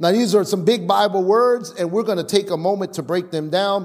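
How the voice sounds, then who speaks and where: With an animated tone and lively intonation, a man talks at a fairly quick pace. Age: 40s. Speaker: pastor. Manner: emphatic, rhythmic preaching cadence with repeated refrains; loud, animated, calling for congregation responses.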